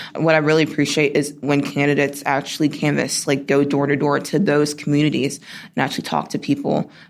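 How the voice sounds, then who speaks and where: A woman with an American accent speaks very fast in a very deep, low voice, her flat, monotone delivery edged with vocal fry. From US South (South Carolina). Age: 20s. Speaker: college student and political organizer. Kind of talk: interview clip.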